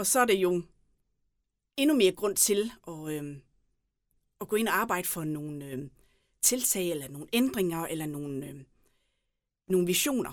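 Recorded very cleanly with a silent background, a woman with a fairly low voice speaks at a fairly slow pace, taking long, frequent pauses, with very wide pitch swings and big swings in loudness. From Southern Jutland, Denmark (Tønder area). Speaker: mayoral candidate. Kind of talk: interview.

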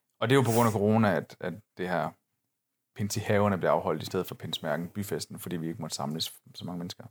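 A man speaks at a very fast pace. His voice has a fairly low pitch. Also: ordinary pitch variation, dry, close sound with no echo. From northern Jutland, Denmark. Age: 30s. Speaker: podcast co-host. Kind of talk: casual chat.

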